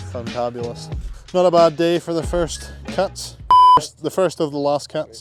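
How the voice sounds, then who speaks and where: A man with a Scottish accent at a fairly slow pace, with music in the background. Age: 20s. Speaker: landscaping business owner. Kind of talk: casual vlog talk to camera.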